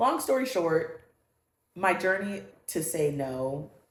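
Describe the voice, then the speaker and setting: A woman's voice comes through with audible echo from the room. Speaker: podcast co-host. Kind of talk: casual chat. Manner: loud.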